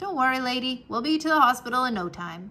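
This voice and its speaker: This put-on character voice races along at a very fast pace with very wide swings in pitch. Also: woman. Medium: read story. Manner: casual, wisecracking.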